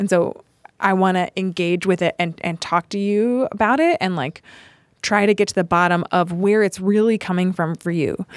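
A woman with an American accent and a plain, everyday voice, medium in pitch with ordinary variation, at a moderate pace in a dry, close sound with no echo. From US South, Charlotte, North Carolina. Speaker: restorative justice specialist and performer. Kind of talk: casual chat.

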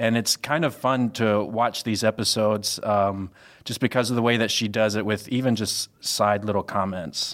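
Fairly low in pitch, a man with an unremarkable speaking voice talks at a moderate pace with fairly even intonation. The recording is very clean against a silent background. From US South (Mississippi/Louisiana). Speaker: communications staffer, podcast guest. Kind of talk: casual chat.

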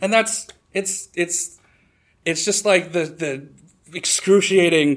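The man speaks with ordinary pitch variation. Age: 30s. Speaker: storyteller. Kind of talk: live storytelling. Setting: stage with audience. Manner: halting.

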